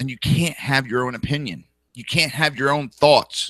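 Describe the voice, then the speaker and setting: Speaking at a fairly slow pace with a New Jersey accent, a man uses a fairly high pitch and ordinary pitch variation, his tone bright and sharp, the sound dry and close with no echo. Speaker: political talk show host. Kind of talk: political talk show monologue. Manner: animated.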